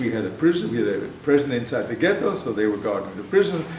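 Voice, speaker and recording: Moderately paced speech from a man with very wide pitch swings, audible room echo and noticeable background noise. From Poland. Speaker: Holocaust survivor. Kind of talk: testimony. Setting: stage with audience. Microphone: speaking without a microphone.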